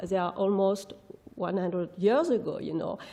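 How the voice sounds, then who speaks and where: Speaking with a non-native accent, a woman talks at a medium pitch with ordinary pitch variation. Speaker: architectural historian, professor. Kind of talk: lecture; audience Q&A. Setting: conference hall with audience.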